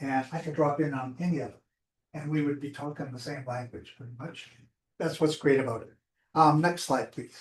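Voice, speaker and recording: Somewhat breathy and at a moderate pace, the voice keeps a fairly even intonation while its loudness swings widely. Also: man. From Alberta, Canada. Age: 70s. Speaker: community group organizer. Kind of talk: presentation to online audience. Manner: halting.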